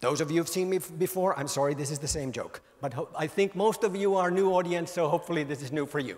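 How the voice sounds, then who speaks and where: The delivery is very fast. Pitch varies in an ordinary way. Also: man, high pitch for a man. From Finland. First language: Finnish. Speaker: mobile industry author and speaker. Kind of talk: conference keynote talk. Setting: stage with audience. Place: hall. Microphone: handheld.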